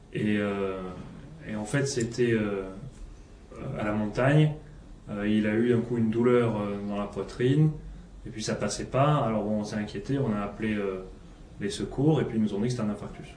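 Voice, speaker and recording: With audible room echo, a man speaks at a moderate pace and fairly low pitch, his intonation fairly even and broken by long, frequent pauses. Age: 30s. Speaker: patient in a role-played consultation. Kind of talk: simulated doctor-patient consultation. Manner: hesitant.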